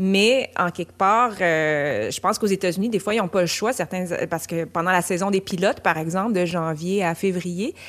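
A woman's normal speaking voice at medium pitch with ordinary pitch variation, a fairly quick pace, and a very clean recording with a silent background. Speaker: actress. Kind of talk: casual discussion.

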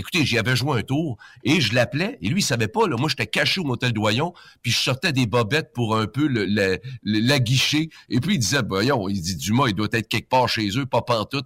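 A man with a Quebec accent, medium in pitch, at a moderate pace with lively intonation, in a very clean recording with a silent background and a dry, close sound with no echo. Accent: Québécois French. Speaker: retiring radio host. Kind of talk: storytelling. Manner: animated.

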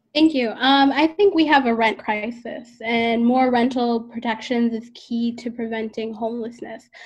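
A woman with an ordinary speaking voice and a fairly high pitch talks at a moderate pace, with hardly any pauses. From Madison, Wisconsin (immigrated from Sudan at six). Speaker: political candidate. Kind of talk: political debate.

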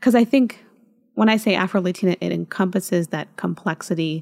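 Here a woman talks at a medium pitch in an unremarkable speaking voice. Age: 30s. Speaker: podcast host. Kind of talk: casual chat.

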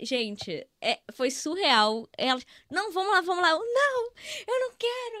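Dry and close with no echo, a woman's voice shows very wide pitch swings. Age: 20s. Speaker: front-end developer. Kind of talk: casual chat.

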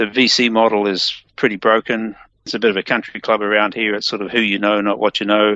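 Speaking with an American accent, a man goes at a very fast pace. His intonation is monotone and flat. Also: fairly low pitch for a man. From New Zealand. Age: 60s. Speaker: tech entrepreneur and engineer. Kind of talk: interview.

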